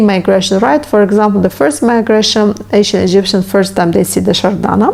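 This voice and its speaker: A woman talks at a fairly quick pace with ordinary pitch variation. Background noise is noticeable. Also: hardly any pauses, very even loudness. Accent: non-native. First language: not English. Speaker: history youtuber. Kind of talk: educational monologue. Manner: halting.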